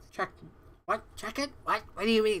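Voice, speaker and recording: In a put-on character voice, a woman talks with a fairly high pitch. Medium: actual play. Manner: flustered.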